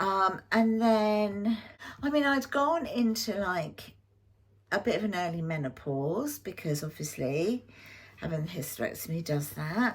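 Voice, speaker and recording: A woman with an English accent speaks fairly slowly in a medium, somewhat breathy voice whose pitch swings very widely. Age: 60s. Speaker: YouTube lifestyle vlogger. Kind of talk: personal health story to camera. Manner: casual, hesitant with fillers.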